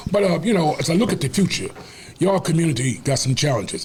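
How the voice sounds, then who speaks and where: Pitch swings very widely at a fairly quick pace. Noticeable background noise sits behind the voice. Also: man. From Washington DC. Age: 70s. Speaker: community leader. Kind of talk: interview. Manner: animated.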